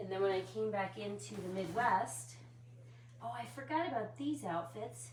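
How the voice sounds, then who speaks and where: A woman's very deep, low voice with very wide pitch swings at a moderate pace, over noticeable background noise. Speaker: doll collector vlogger. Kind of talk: casual chat. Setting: at home, night time. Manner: low-key and relaxed, sometimes very quiet.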